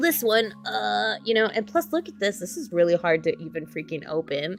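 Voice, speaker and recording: A woman's pitch rises and falls very widely while music plays behind her. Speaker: doll hobby vlogger. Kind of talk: live stream chat. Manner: animated.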